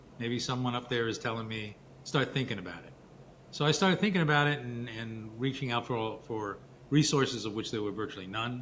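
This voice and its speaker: Talking at a fairly quick pace with ordinary pitch variation, a man swings widely in loudness amid audible room echo. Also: medium pitch for a man. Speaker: lawyer and author. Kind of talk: interview.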